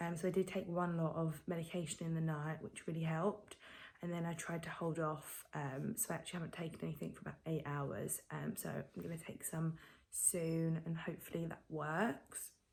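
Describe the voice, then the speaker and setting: With an English accent, a woman speaks in a fairly low, somewhat breathy voice and fairly even intonation. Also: moderate pace. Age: 20s. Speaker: vlogger. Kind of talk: casual vlog. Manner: hesitant, many ums.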